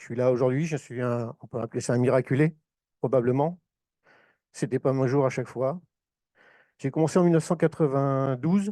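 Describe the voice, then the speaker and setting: A man with a northern French accent and a dark, mellow tone, with ordinary pitch variation, big swings in loudness and long, frequent pauses, in a dry, close sound with no echo over a quiet background. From northern France, Oise (Compiègne). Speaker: former firefighter, association speaker. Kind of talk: conference talk. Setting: conference hall with audience.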